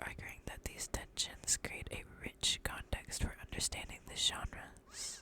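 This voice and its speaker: Someone is whispering at a fairly slow pace. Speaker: ASMR creator. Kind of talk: reading aloud. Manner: halting.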